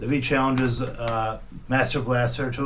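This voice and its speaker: A man's medium-pitched voice is heard with noticeable background noise. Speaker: movie reviewer. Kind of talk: unscripted movie review to camera. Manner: stammering, hesitant.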